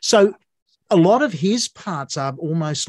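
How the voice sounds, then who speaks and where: A man with an Australian accent is heard in a dry, close sound with no echo over a quiet background. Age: 60s. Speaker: podcast host, musician. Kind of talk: interview conversation.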